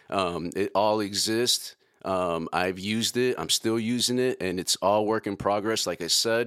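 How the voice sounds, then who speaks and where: A man with a Chicago accent, fairly low in pitch, with fairly even intonation on a very clean recording with a silent background. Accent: Chicago American. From Chicago, South Side. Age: 40s. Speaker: podcast host, entrepreneur. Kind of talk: casual podcast monologue.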